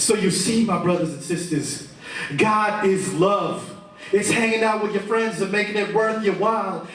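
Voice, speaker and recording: The speaker is a man with a high pitch. Noticeable background noise runs behind him. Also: fairly even intonation, moderate pace. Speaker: spoken word poet. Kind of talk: spoken word poetry performance. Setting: live venue with audience.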